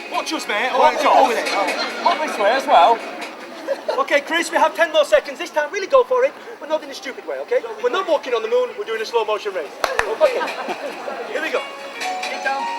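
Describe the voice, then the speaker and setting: Against crowd noise, a man talks fairly quickly in an extremely high pitch with very wide pitch swings and a playful tone, breaking often for long pauses. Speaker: street performer. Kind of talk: live interactive street theater to a crowd. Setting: outdoors in a street. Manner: loud, playful, crowd-engaging.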